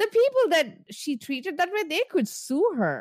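Using very wide pitch swings, a woman with a non-native accent speaks at a moderate pace. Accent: foreign-accented English. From immigrant, grew up outside English-speaking world. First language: not English. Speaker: podcast co-host. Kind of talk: casual chat recapping reality TV.

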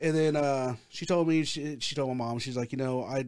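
A man speaks at a medium pitch with ordinary pitch variation. He has a normal speaking voice. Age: 40s. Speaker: haunt actor and horror script writer. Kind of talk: casual chat.

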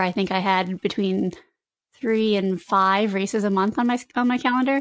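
A woman has a normal speaking voice at a fairly high pitch. Her intonation is fairly even against a quiet background. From eastern Connecticut, US. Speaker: trail runner. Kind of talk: casual interview.

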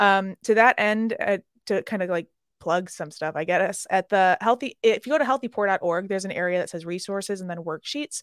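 An unremarkable speaking voice with an American accent, ordinary pitch variation, dry and close with no echo, on a very clean recording with a silent background. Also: woman, medium pitch for a woman. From Chicago, US Midwest. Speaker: hospitality mental health consultant. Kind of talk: interview.

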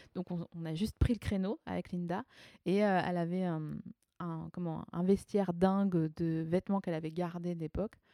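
A woman at a fairly low pitch with a dark, mellow tone and monotone, flat intonation, at a moderate pace in a dry, close sound with no echo. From eastern France, Alsace (Haut-Rhin). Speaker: comedian and writer. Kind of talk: casual interview between friends. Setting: at home, around a coffee table.

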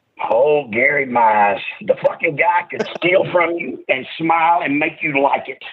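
A man with a high-pitched voice, very wide pitch swings and a Southern US accent. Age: 50s. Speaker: professional wrestler. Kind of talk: casual chat. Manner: animated.

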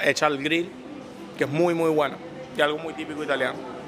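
A man talks with a fairly high pitch. Behind his voice, there is music. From Venezuela. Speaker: restaurant owner. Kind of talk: interview.

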